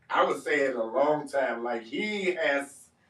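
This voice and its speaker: This speaker has a Detroit accent. The pitch swings very widely. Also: man. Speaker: podcast co-host. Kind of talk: casual chat. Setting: live stream panel.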